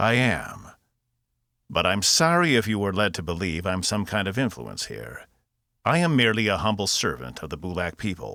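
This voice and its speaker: Using a put-on character voice, a man speaks raspily at a fairly low pitch and a moderate pace on a very clean recording with a silent background. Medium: read story. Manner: measured, probing, formal.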